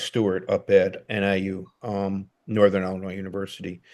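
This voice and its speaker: In a Chicago accent, a man talks at a moderate pace with a fairly low pitch and a dark, mellow tone. His intonation is monotone and flat over a quiet background. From Chicago, US. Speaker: documentary photographer. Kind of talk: casual interview chat.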